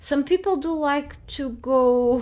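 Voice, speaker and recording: This woman has a non-native accent. She talks at a very slow pace, with ordinary pitch variation. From Portugal. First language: Portuguese. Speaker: video game streamer. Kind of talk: live game stream commentary. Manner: halting, many fillers and restarts.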